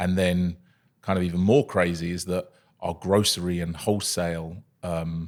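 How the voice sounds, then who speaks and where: With a southern English accent, a man speaks at a moderate pace in a monotone, flat intonation and a very deep, low pitch. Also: very clean recording, silent background. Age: 30s. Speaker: coffee company founder. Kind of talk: podcast interview. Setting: studio.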